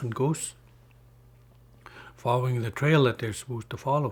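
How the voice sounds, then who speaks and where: This man has a medium pitch and a somewhat breathy voice. He talks at a fairly quick pace with fairly even intonation. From Northwest Territories, Canada (Mackenzie Delta, Inuvialuit and Gwich'in). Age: 50s. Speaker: community elder and public official. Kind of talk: storytelling interview. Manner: halting, with many fillers.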